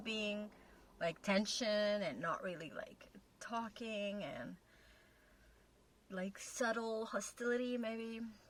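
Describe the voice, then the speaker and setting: The pace is very slow. It belongs to a woman speaking with a non-native accent. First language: not English. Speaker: relationship video co-host with partner. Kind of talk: casual chat. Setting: in a car.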